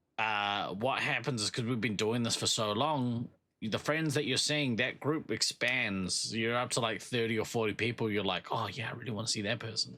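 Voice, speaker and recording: This man has a New Zealand accent and a medium-pitched voice with a bright, sharp tone. He talks at a moderate pace with fairly even intonation and hardly any pauses. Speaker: podcast co-host. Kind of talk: casual chat.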